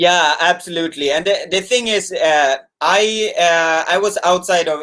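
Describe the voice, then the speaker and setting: A man with a Swedish accent speaks with ordinary pitch variation. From Sweden, small fishing town. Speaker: YouTuber. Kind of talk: casual chat. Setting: live stream video call.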